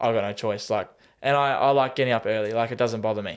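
Fairly even intonation and a medium pitch come from a man on a very clean recording with a silent background. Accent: Australian. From Tasmania, Australia. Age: 20s. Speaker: semi-professional goalkeeper and personal trainer. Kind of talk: casual interview chat.

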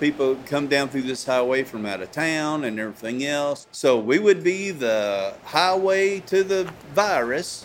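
A man with a Texan accent, fairly high-pitched, with lively intonation and a fairly slow pace. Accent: Texan, country. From Texas. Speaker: small town business owner. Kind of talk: casual personal diary.

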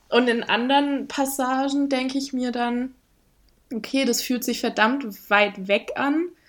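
At a very slow pace and with fairly even intonation, the voice comes through on a very clean recording with a silent background. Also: woman. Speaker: podcast guest. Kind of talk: casual chat.

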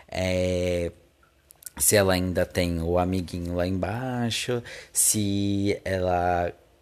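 With a Brazilian accent, a man speaks in a very deep, low pitch and a monotone, flat intonation. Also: very clean recording, silent background. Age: 20s. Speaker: podcast host. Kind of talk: casual solo monologue.

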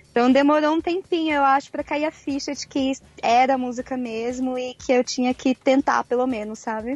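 With music in the background, a woman speaks in a high voice. Her intonation is fairly even, and the sound is dry and close, with no echo. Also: moderate pace. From Brazil, Mato Grosso do Sul (Campo Grande). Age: 20s. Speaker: singer-songwriter. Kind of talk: remote interview.

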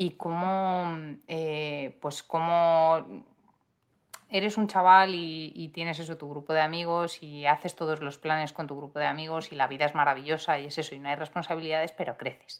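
Over a silent background in a very clean recording, a woman with a very deep, low pitch talks at a moderate pace with fairly even intonation. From Madrid, Spain. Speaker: podcast co-host. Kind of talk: casual chat.

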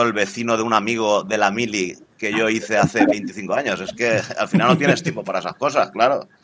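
A man with a medium-pitched voice and a bright, sharp tone speaks at a moderate pace with ordinary pitch variation. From Spain, Valencia. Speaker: cryptocurrency enthusiast. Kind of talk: casual chat.

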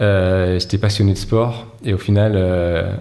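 A man's monotone, flat voice at a fairly low pitch and fairly slow pace, with noticeable background noise and audible room echo. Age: 40s. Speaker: running shoe product director. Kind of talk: interview. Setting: company office.

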